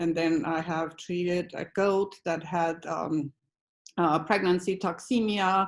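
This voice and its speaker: A woman speaks very slowly with a fairly low pitch and fairly even intonation. The recording is very clean, with a silent background. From Austria. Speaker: alpaca rancher. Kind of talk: testimony. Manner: halting.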